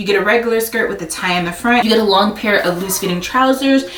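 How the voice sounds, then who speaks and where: A woman talks at a very fast pace in a fairly high pitch. The recording has audible room echo and noticeable background noise. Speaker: sewing vlogger. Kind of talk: haul video tutorial-style chat. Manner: casual with many fillers.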